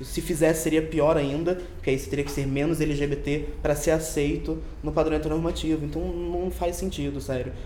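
A man talks at a fairly quick pace, with hardly any pauses. Audible room echo and noticeable background noise are present. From Rio de Janeiro. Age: young. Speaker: magazine editor. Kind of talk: casual chat.

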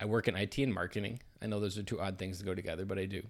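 In an Upper Midwest accent, a man speaks very fast at a fairly low pitch with ordinary pitch variation, on a very clean recording with a silent background. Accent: Upper Midwest American. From US Midwest, southern Wisconsin. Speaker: community member presenting weekly content. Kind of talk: personal reflection; reading aloud.

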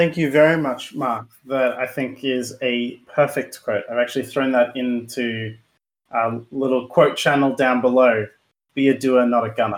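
Spoken at a moderate pace with an Australian accent, the delivery stays monotone and flat. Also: man, medium pitch for a man. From Brisbane, Australia. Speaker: podcast co-host. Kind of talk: scripted outro; podcast interview.

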